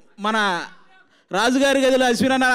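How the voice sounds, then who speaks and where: The audio is very clean and the background silent. The speaker is a man. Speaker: comedian and actor. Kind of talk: speech at a film trailer launch event. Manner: forceful, passionate.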